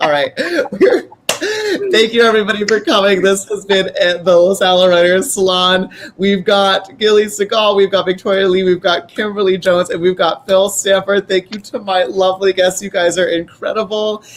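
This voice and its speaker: Over noticeable background noise, a man with a high-pitched voice talks at a moderate pace. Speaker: host of author event. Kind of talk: casual chat. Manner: animated.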